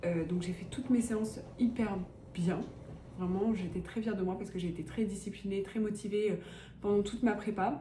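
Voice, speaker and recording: A woman speaks at a medium pitch with fairly even intonation, leaving long, frequent pauses. Noticeable background noise and audible room echo fill the recording. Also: moderate pace. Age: 20s. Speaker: vlogger and student runner. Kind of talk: casual vlog talk. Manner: casual, many fillers.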